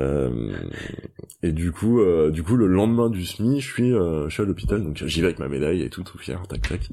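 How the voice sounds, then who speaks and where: Very deep and low, this man's voice has a dark, mellow tone and lively intonation. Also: moderate pace. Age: 30s. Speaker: sports retail buyer, cancer survivor and runner. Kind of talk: interview testimony. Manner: halting, many hesitations and repetitions.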